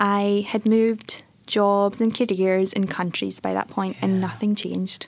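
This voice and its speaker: A woman speaks at a fairly slow pace with a strong Scottish accent. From Scotland, Airdrie (North Lanarkshire). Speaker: tech entrepreneur, former software engineer. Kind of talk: interview. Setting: studio.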